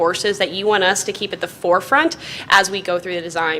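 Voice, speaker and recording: A woman at medium pitch, ordinary pitch variation, a very fast pace, and noticeable background noise. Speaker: architect presenting to school board. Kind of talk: presentation to school board.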